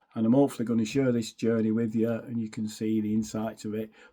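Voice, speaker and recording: In a dark, mellow tone at a medium pitch, a man speaks at a fairly quick pace. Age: 60s. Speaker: music fan vlogger. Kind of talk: casual vlog monologue. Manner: hesitant, many fillers.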